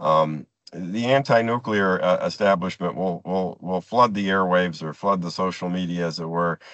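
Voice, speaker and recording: A man talks in a very deep, low voice with ordinary pitch variation. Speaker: nuclear industry presenter. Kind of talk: presentation. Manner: fast; halting.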